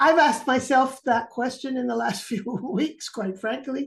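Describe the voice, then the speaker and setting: A high-pitched woman at a moderate pace, with ordinary pitch variation. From Cuba and Florida. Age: 70s. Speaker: philosopher. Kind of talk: informal talk and Q&A.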